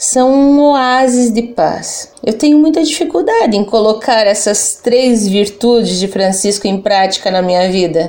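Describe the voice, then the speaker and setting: Lively intonation from a woman taking a fairly slow pace. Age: 40s. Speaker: secular Franciscan, civil servant. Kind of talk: religious interview reflection.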